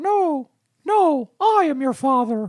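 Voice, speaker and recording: The voice is a high-pitched, put-on character voice. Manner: playful.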